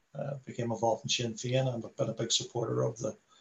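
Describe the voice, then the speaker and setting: In a Belfast accent, a man talks at a moderate pace with a monotone, flat intonation. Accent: Belfast Northern Irish. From Belfast, Northern Ireland. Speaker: former republican prisoner and visitor centre worker. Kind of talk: talk to online meeting. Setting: video call. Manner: repetitive, halting.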